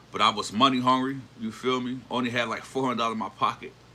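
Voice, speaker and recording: A man with an American accent speaks at a fairly quick pace and medium pitch. Noticeable background noise is present. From New Jersey (Newark area). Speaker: livestreamer. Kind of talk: casual livestream chat and storytelling. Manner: animated.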